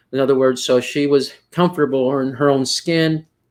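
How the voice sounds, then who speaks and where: In a Texas Valley accent, a man talks at a medium pitch with ordinary pitch variation. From US South, Rio Grande Valley, Texas. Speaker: poetry panel moderator. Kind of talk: panel discussion. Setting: video call. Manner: halting, many fillers.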